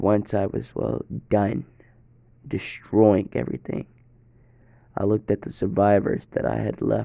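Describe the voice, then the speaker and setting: This man's voice has a dark, mellow tone, vocal fry and a fairly low pitch, with very wide pitch swings. He leaves long, frequent pauses. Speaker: fan fiction storyteller. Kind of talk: first-person story narration. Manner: casual, with filler hesitations.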